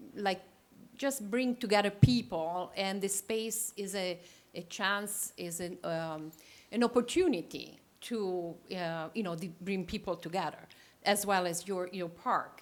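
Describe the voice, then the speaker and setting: A woman with an Italian accent talks at a fairly slow pace and medium pitch, with ordinary pitch variation, on a very clean recording with a silent background. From Italy. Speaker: landscape architect. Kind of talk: presentation. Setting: town council meeting. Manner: halting, many fillers.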